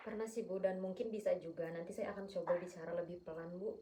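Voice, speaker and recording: Somewhat breathy, with a dark, mellow tone, a woman speaks at a fairly low pitch and a moderate pace, with ordinary pitch variation and audible room echo. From Sumatra, Batak. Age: 20s. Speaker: counseling client. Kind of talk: role-play counseling session. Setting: at home. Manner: firm tone.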